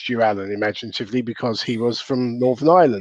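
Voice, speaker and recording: A man with a Southern English accent talks with fairly even intonation. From southern England. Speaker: wrestling commentator. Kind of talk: casual chat.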